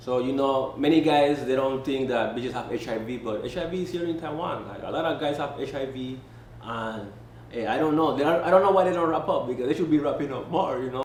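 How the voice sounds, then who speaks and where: In a Spanish accent, a man with a fairly high pitch and ordinary pitch variation talks at a very fast pace amid noticeable background noise and audible room echo. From Panama. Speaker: expat entrepreneur, interviewee. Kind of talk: casual interview.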